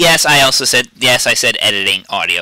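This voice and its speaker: In a dry, close recording with no echo, a man talks in a raised, projected voice. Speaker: gaming video creator. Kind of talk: tutorial. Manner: halting.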